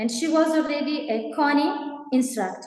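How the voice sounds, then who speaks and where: A woman with a non-native accent, at a fairly slow pace with ordinary pitch variation, in audible room echo. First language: not English. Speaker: event host. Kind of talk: event introduction. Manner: halting.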